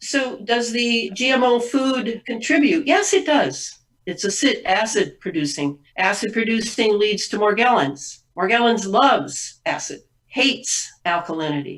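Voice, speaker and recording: This woman speaks at a fairly slow pace with a fairly high pitch. Her pitch swings very widely. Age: 70s. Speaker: author and weather activist. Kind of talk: interview.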